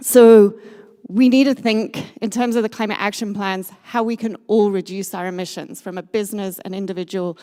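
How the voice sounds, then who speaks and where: A dark, mellow voice in a British accent at a moderate pace. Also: woman. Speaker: sustainability consultant. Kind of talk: conference talk.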